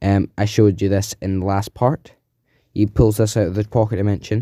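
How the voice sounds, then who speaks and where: Recorded very cleanly against a silent background, a man speaks at a fairly low pitch in a dark, mellow tone with monotone, flat intonation. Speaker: fan-fiction storyteller on a video channel. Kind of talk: casual storytelling narration. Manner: halting, many fillers.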